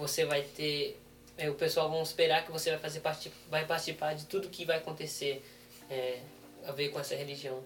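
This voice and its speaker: With noticeable background noise behind him, a man speaks in a fairly high, monotone, flat voice at a moderate pace. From Brazil, raised in South Africa from age six. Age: 20s. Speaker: missionary trainee and interpreter. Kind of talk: interview with live interpreting.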